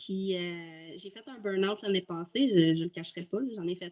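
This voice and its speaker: The pitch is medium. It is a woman talking. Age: 30s. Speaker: virtual assistant, former teacher. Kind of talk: testimony interview. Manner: halting, many hesitations.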